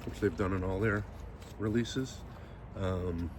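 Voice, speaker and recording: Mumbling, a man talks with fairly even intonation. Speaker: podcast host. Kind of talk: casual unboxing commentary. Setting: outdoors.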